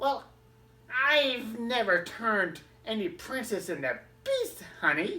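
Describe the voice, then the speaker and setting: A woman uses a put-on character voice at a fairly high pitch. She leaves long, frequent pauses. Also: fairly slow pace. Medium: read story. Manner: casual, familiar, calls people honey.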